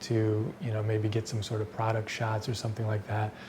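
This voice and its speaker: The man's voice sits at a medium pitch. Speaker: filmmaker. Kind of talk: casual tutorial talk to camera. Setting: indoors at night. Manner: whispered, quiet.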